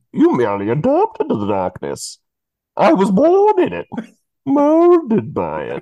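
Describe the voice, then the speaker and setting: At a moderate pace, a man performs a put-on character voice. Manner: menacing.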